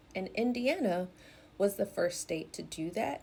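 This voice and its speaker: A woman with a dark, mellow tone speaks at a moderate pace, using ordinary pitch variation. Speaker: educator and content creator. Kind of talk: educational talk. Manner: clear, carefully enunciated.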